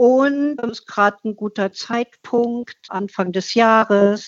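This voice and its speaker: The pitch rises and falls in an ordinary way. The pace is very slow. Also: woman. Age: 70s. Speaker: climate activist and artist. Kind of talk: interview.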